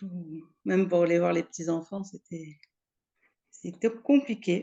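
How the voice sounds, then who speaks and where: The woman talks very slowly at a medium pitch. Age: 60s. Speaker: client giving a testimonial. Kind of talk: testimony interview. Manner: halting, with many hesitations and repetitions.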